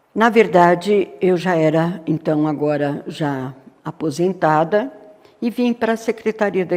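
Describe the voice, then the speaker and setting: A woman with a fairly low pitch speaks at a fairly slow pace, with ordinary pitch variation. Noticeable background noise sits behind her. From Brazil, São Paulo state interior. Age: 70s. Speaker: retired educator. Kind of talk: interview.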